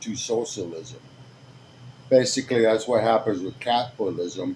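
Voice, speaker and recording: A man at medium pitch sounds somewhat breathy. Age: 50s. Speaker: video blogger. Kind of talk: casual commentary with story reading. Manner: halting.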